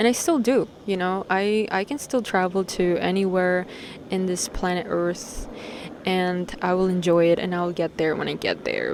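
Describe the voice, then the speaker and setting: Noticeable background noise sits behind a woman with a New York accent who speaks at medium pitch and a moderate pace with fairly even intonation. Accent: New York American English. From Peru (Lima/Callao area), moved to New York at 10. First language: Spanish. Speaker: vlogger. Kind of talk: casual vlog monologue. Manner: casual, slangy, profane.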